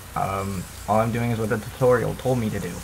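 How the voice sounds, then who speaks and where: Noticeable background noise surrounds a man speaking at a moderate pace in a fairly low voice with ordinary pitch variation. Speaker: gamer. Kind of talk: gameplay commentary. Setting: computer microphone. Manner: casual, self-deprecating.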